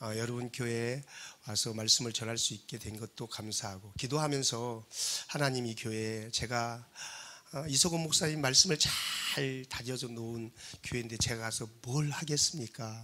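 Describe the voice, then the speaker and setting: At a moderate pace, a man speaks at a medium pitch with ordinary pitch variation and a bright, sharp tone. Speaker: guest pastor, revival speaker. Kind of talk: sermon. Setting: church. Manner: usually calm and dignified.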